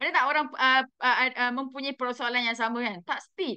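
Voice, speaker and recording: A woman's raised, projected voice with a Malaysian accent, bright and sharp in tone, at a moderate pace over a quiet background. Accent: Malaysian Malay. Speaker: direct sales manager. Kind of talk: motivational talk. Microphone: video call.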